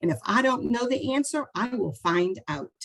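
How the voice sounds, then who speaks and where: A woman speaks at a moderate pace in an animated tone, with vocal fry and very wide pitch swings. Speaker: school board candidate. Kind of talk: interview.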